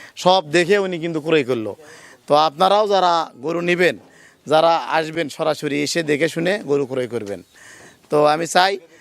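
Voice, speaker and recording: This is a normal speaking voice. Pitch variation is ordinary. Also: man, fairly high pitch for a man. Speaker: dairy farmer and cattle seller, channel host. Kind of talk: casual vlog with customer interview and sales talk.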